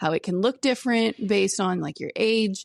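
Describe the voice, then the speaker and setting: A woman's normal speaking voice, fairly quick with lively intonation, dry and close with no echo, in a very clean recording over a silent background. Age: 30s. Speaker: podcast co-host. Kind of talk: casual chat.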